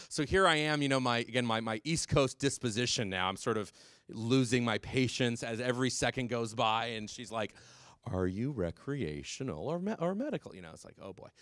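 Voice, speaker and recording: A man with an American accent talks at a fairly quick pace and medium pitch, his tone animated and intonation lively, with big swings in loudness on a very clean recording with a silent background. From California. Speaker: drug policy speaker. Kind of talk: public talk. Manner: fast.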